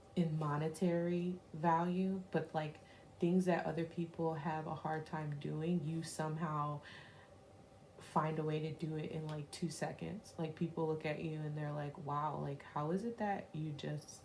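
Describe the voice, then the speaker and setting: Whispering at a fairly slow pace, a woman sounds somewhat breathy. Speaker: tarot reader. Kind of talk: tarot reading to camera. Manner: casual, many fillers.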